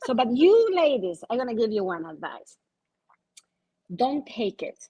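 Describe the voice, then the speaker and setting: A woman with a non-native accent talks at a moderate pace, and the sound is dry and close with no echo. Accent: foreign accent, non-native English. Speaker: insurance agent. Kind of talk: panel discussion.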